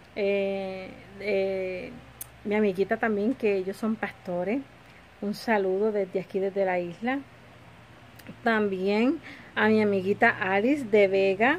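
A woman at a medium pitch, with a very slow pace, fairly even intonation and light background noise. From Puerto Rico. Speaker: lifestyle vlogger. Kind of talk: casual home vlog. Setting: home kitchen. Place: home room. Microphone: phone near.

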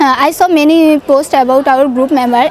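A woman with a Bangladeshi accent speaks at a moderate pace in a high voice. The sound is dry with no echo, over light background noise. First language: Bengali. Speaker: student sharing English learning success story. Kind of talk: testimonial. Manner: halting, hesitant with fillers. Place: open country. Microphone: lapel.

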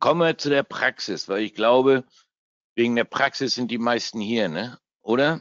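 Using ordinary pitch variation, a man talks at a moderate pace and medium pitch. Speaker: forex trader and trading educator. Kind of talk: live trading webinar. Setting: webinar from home. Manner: casual, joking.

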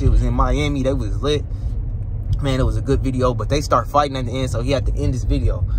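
There is noticeable background noise around a man whose voice has a dry sound with no echo. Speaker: vlogger. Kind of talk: casual vlog chat. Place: car. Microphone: phone near.

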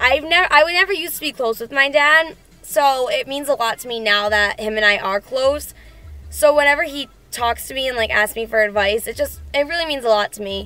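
A woman talks in a raised, projected voice at a fairly quick pace. The sound is dry, with no echo. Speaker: fitness vlogger. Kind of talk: casual vlog chat. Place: car. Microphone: phone near.

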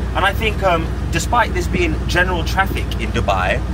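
Loud noise fills the background. The speech moves at a moderate pace. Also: man. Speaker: car reviewer. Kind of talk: casual car review vlog. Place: car. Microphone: phone near.

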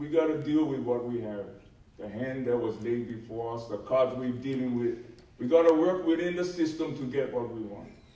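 Speaking at a moderate pace, a man with a medium pitch and ordinary pitch variation has big swings in loudness, and the room echo is audible. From Hawaii Island. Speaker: mountain management adviser, former union officer; panelist. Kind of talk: panel discussion. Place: hall. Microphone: camera far.

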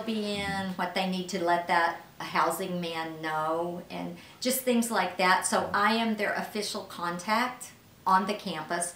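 A woman at a fairly slow pace with fairly even intonation, audible room echo and light background noise. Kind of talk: interview answer. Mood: friendly, smiling. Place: office.

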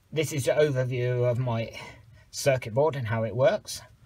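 At a fairly slow pace, a man talks in a somewhat breathy voice with ordinary pitch variation. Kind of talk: tutorial. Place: garage. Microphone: phone near.

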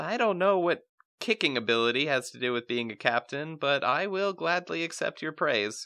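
A man puts on a whiny character voice with a fairly high pitch. He speaks at a moderate pace against a quiet background. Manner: whiny, meek.

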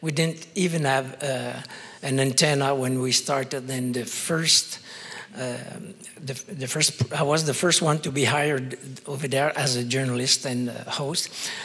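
A man with a French Canadian accent talks at a fairly slow pace. His fairly high voice has fairly even intonation. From Quebec. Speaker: journalist; panelist, former journalist. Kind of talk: panel discussion storytelling. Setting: stage with audience. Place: hall. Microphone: handheld.

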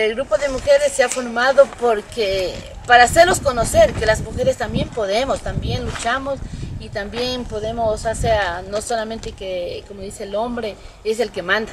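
A woman's fairly high voice shows ordinary pitch variation and big swings in loudness, with noticeable background noise. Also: moderate pace. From Ecuador, Manabí province. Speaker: small farmer, association member. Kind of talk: interview testimony. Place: farm machine.

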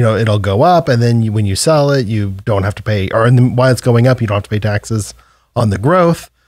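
The background is quiet as a man speaks. His voice sounds dry, with no echo. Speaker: tax advisor. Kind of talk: radio show discussion. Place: studio. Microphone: studio mic.

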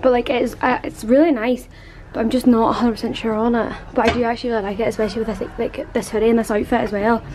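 Over noticeable background noise, a woman talks very fast in a monotone, flat way. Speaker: vlogger. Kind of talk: casual vlog chat. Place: shop.

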